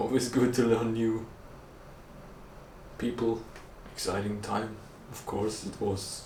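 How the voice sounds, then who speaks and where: A man speaks very slowly. Audible room echo is present. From Austria, Vorarlberg. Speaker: vlogger. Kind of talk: casual chat.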